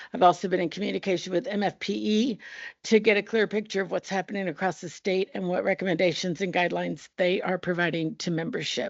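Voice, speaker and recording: With vocal fry, a woman talks at a very fast pace. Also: medium pitch for a woman, ordinary pitch variation. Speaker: teachers union representative. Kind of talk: board meeting report.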